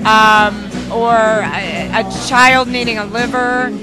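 A woman speaks in a dry sound with no echo, with clear music in the background. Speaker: guest. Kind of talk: interview answer. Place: bar. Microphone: handheld.

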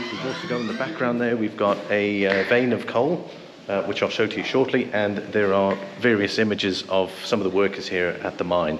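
With noticeable background noise, the speaker goes at a fairly quick pace and uses ordinary pitch variation. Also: man. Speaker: travel vlogger. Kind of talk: casual vlog chat. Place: tunnel cave. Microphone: phone near.

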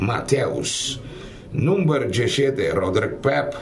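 A man talks at a very slow pace. Noticeable background noise runs beneath him. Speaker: football commentator. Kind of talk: live sports commentary. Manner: mixes Spanish, Portuguese, Papiamentu.

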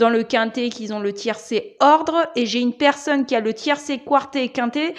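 In a quiet background, a woman speaks at a fairly slow pace, her high pitch moving with ordinary variation. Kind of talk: casual vlog chat. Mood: pleased, upbeat. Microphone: lapel.

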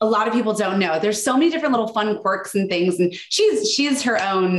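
A woman with an American accent, medium pitch, lively intonation and a fairly quick pace, with audible room echo. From United States. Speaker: etiquette expert. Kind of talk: interview. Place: home room. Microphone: video call.

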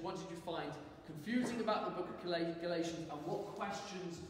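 A high-pitched man at a fairly quick pace, with strong room echo and light background noise. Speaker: church teacher. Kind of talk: sermon. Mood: warm, light-hearted. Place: church. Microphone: camera far.

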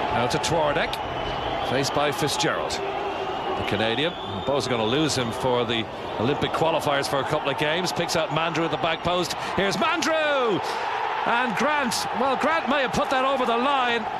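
Speech at a moderate pace comes through loud background noise in a dry sound with no echo. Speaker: football commentator. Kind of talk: live football match commentary over highlights. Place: stadium.

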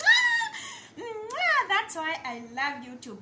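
With noticeable background noise behind her, a woman projects a raised voice with a bright, sharp tone, very wide pitch swings and a very slow pace. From Kenya. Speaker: YouTuber. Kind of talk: casual vlog talk to viewers. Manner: animated. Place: home room. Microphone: phone near.

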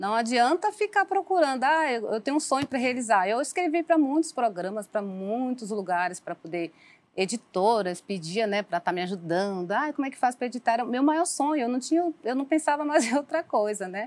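Speaking at a fairly quick pace with hardly any pauses, a woman uses a high pitch and very wide pitch swings. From Salvador, Bahia, Brazil; Bahia, Brazil. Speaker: author; guest. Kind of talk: interview testimony. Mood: personal life story, earnest. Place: studio. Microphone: lapel.

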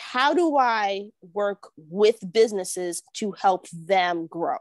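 Against a quiet background, a woman in a New York accent talks with an animated tone and lively intonation. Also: dry sound with no echo. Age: 30s. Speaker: real estate agent and entrepreneur; podcast guest. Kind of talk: casual interview. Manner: animated, laughs often. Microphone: earbuds.

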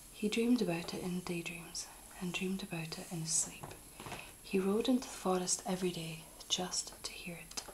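A soft-spoken voice with light background noise. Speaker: storybook reader. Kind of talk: reading a story aloud. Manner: soft, hushed bedtime-story reading voice.

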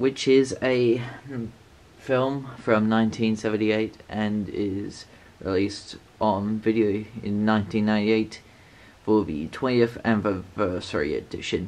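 With fairly even intonation, a man speaks at a fairly slow pace in a fairly low voice with a slightly mellow tone.

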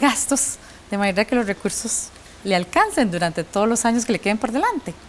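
Over light background noise, a woman talks at a very fast pace in a fairly high voice. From Costa Rica. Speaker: TV presenter. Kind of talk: TV panel moderation. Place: studio. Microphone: lapel.

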